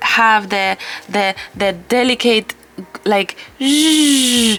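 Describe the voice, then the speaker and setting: A woman with a non-native accent speaks very slowly in a fairly high voice with ordinary pitch variation, music playing in the background. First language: not English. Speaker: watercolor art teacher. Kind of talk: tutorial; casual chat. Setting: home studio. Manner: halting.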